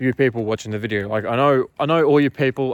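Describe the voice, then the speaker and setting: Talking at a very fast pace, a man with an Australian accent keeps his intonation fairly even. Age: 20s. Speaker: marketing agency owner. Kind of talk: casual talking-head monologue. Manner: casual, filler-heavy.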